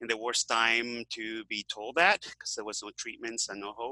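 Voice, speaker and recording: In a Venezuelan accent, a man talks at a medium pitch with a bright, sharp tone. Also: dry, close sound with no echo. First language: Spanish. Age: 60s. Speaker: health author and activist. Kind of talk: interview. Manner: halting, many fillers.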